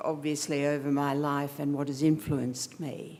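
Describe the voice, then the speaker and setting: A woman speaks at a fairly slow pace in an Australian accent. Her pitch is very deep and low. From Australia, Melbourne. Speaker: architect, guest speaker. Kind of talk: speech to an audience.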